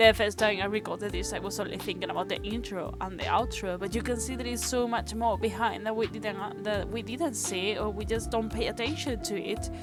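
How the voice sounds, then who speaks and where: A woman with a strong non-native accent, fairly quick and with hardly any pauses, over music in the background. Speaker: animator. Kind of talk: casual talk to camera.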